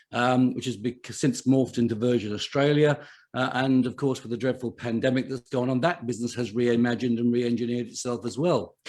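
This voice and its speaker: Delivered in an English accent, the speech has fairly even intonation and hardly any pauses. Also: man, medium pitch for a man. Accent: very English. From England. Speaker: chief financial officer and podcaster. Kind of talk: live online summit talk. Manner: hesitant, many fillers.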